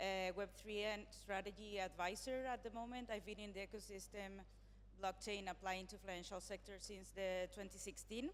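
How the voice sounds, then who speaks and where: A woman speaks with a non-native accent. Her pace is moderate. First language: not English. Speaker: panel moderator, web3 strategy advisor. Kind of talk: panel moderation. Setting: stage at conference.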